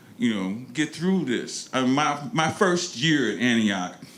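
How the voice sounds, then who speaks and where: A man with an American accent speaks with very wide pitch swings. Background noise is noticeable. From US Midwest, North St. Louis, Missouri. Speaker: alumni panelist. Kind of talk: panel discussion. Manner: halting.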